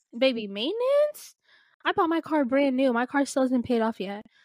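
A woman's high-pitched voice with lively intonation and an animated tone at a moderate pace, dry and close with no echo, in a very clean recording against a silent background. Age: 20s. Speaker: podcast co-host. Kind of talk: casual chat.

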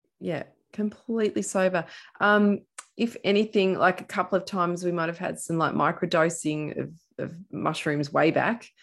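A woman with an Australian accent, fairly low in pitch, at a moderate pace with ordinary pitch variation, on a very clean recording with a silent background. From Australia, central Victoria. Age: 40s. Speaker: podcast host, former drinker. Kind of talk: interview, personal story.

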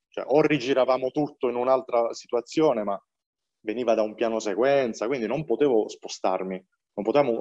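A man's voice with ordinary pitch variation. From Apulia, southern Italy (Valenzano near Bari). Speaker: film director. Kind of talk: interview. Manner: animated.

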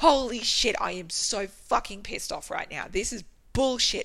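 Over clearly audible background noise, the voice is raised and projected. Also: woman. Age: 30s. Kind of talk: reading aloud. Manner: expressive.

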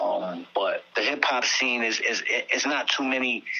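Amid noticeable background noise, a man with a New York accent speaks at a fairly slow pace. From Staten Island, New York. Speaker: rapper. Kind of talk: interview. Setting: phone call. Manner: halting.

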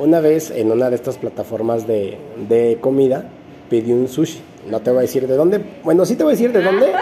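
A man with a Mexican accent, medium in pitch and lively in intonation, over noticeable background noise. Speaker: podcast host. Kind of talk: podcast interview.

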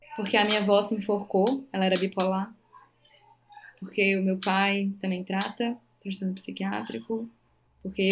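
A woman speaks with fairly even intonation. Her voice is somewhat breathy. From Brazil, Maranhão (Northeast), interior. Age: 30s. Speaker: physician. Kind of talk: casual interview chat.

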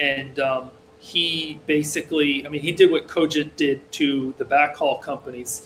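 With an American accent, a man speaks at a fairly high pitch. His intonation stays fairly even. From rural Massachusetts, US. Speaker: programmer. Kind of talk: casual interview conversation. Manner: hesitant, many fillers.

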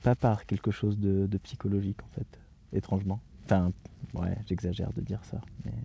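A man's somewhat breathy, dark, mellow voice at a fairly low pitch, with ordinary pitch variation, a moderate pace, long, frequent pauses and a dry, close sound with no echo. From France, near Poitiers (Châtellerault). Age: 40s. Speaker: circus arts administrator. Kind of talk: interview, personal conversation. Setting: in a tent in the mountains. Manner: hesitant, many fillers.

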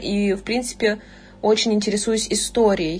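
A woman speaks in a plain, everyday voice at a fairly high pitch. Her pace is moderate. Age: young. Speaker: university student and online tutor. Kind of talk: casual chat.

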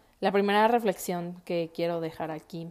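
In a very clean recording with a silent background, a woman talks in a fairly low voice with fairly even intonation. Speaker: podcast host and architect. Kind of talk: casual monologue.

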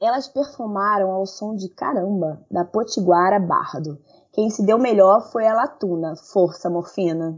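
Fairly slow and at medium pitch, a woman speaks in an unremarkable speaking voice with ordinary pitch variation. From Rio de Janeiro, Brazil. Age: 30s. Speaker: nurse and online game moderator. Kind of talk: news reading.

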